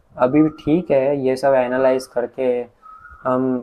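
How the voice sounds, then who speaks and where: This is a man speaking. His voice has a dark, mellow tone. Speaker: youtuber. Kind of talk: personal vlog monologue. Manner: calm, soft-spoken.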